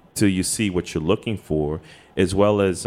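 The delivery moves at a moderate pace with lively intonation, in an American accent. Music plays in the background. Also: man. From Washington, DC, Trinidad-born. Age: 50s. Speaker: graphic artist. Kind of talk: casual chat. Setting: hotel lobby, live recording.

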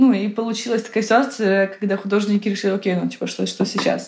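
A somewhat breathy voice with monotone, flat intonation. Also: woman. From Ukraine, Kyiv. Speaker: art advisor. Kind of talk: interview.

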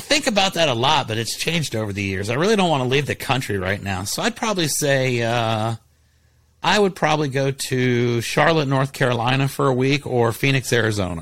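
A man with an American accent speaks in a plain, everyday voice at a medium pitch and a fairly quick pace. His intonation is lively, on a very clean recording with a silent background. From Ohio, Columbus. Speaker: roofing company owner. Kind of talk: casual chat.

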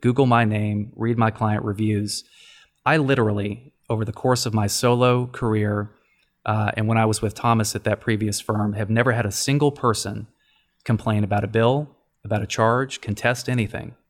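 This man has an American accent and a plain, everyday voice at a medium pitch. He speaks at a fairly quick pace with fairly even intonation. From Texas, Dallas. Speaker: family law attorney, former broadcast journalist. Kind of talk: interview podcast.

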